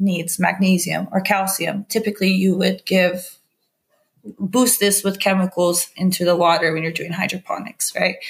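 In an American accent, a woman speaks fairly slowly at a medium pitch, somewhat breathy, with monotone, flat intonation. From California. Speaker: cannabis activist and entrepreneur. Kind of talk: interview.

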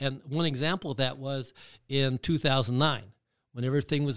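With an American accent, a man talks in a normal speaking voice at medium pitch, moving at a fairly quick pace with fairly even intonation. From Michigan. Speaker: real estate investor. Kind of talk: interview. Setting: studio.

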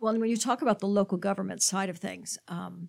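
A woman's medium-pitched voice with vocal fry and fairly even intonation, on a very clean recording with a silent background. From Miami. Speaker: chamber of commerce podcast host. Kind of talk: casual interview.

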